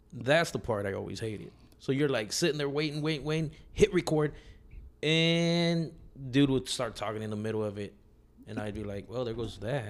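A man with an ordinary speaking voice and medium pitch talks at a moderate pace with lively intonation in a very clean recording with a silent background. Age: 40s. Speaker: podcast host. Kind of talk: casual chat.

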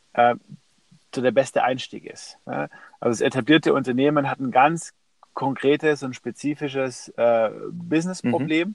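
A man of medium pitch speaks at a moderate pace with ordinary pitch variation and big swings in loudness. Long pauses come often, and the sound is dry and close with no echo. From Stuttgart, Germany. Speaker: entrepreneur and author. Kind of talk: interview. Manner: hesitant with many fillers.

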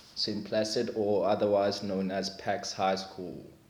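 A man's fairly slow speech with audible room echo. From South Africa, Limpopo village. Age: 30s. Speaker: personal trainer. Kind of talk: casual chat.

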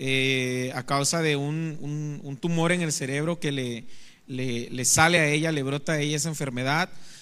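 A man talks in a plain, everyday voice, pitched fairly high. He keeps a moderate pace and fairly even intonation. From Mexico, Veracruz. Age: 30s. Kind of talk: testimony. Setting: studio.

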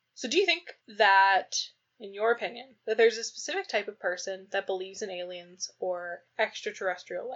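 A woman with a fairly high pitch talks at a fairly quick pace, her loudness swinging widely while her pitch varies in an ordinary way. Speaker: podcast co-host. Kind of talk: casual chat. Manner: laughing often.

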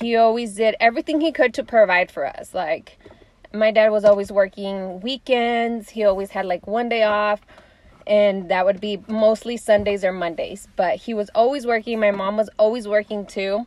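A woman, fairly high in pitch, with a plain, everyday voice, moderate pace and ordinary pitch variation. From US, Mexican-American family. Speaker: stay-at-home mom. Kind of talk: casual chat.

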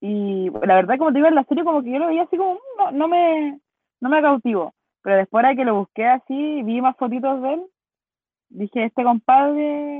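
Speaking in a Chilean accent, a woman uses a high pitch and lively intonation at a moderate pace. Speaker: podcast co-host. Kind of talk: casual chat.

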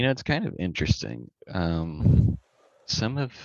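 A man speaks with vocal fry. His pace is fairly slow. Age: 20s. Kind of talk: casual interview chat. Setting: phone call.

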